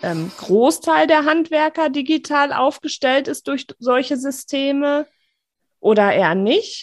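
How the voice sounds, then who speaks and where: This woman's lively intonation unfolds at a fairly slow pace over a quiet background. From Sauerland / Ruhr area, Germany. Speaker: architect and podcast host. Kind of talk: casual interview chat.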